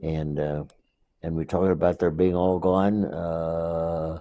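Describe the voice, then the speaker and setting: With an American accent, a man speaks fairly slowly in a very deep, low pitch, with a dark, mellow tone and monotone, flat intonation. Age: 80s+. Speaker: war veteran. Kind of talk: oral history interview. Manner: halting.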